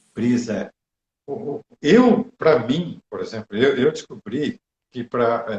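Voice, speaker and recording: A man's voice is somewhat breathy. His intonation is lively. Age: 60s. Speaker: meditation teacher. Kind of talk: live stream chat. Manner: hesitant.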